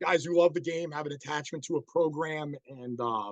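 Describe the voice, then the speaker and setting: A man with a New York accent talks at a fairly quick pace in a fairly high pitch, his intonation fairly even and the sound dry and close with no echo. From New York City. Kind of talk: online presentation. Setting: video call. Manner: casual, many fillers.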